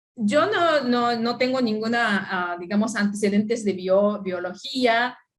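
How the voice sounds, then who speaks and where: This woman has a non-native accent and a fairly high pitch. She talks at a fairly slow pace. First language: not Spanish (speaking Spanish). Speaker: anthropologist. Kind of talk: conference talk. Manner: halting.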